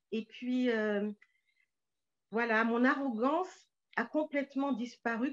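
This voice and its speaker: A woman's fairly high voice at a fairly slow pace, dry and close with no echo. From Paris suburbs, France. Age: 60s. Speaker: novelist. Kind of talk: interview.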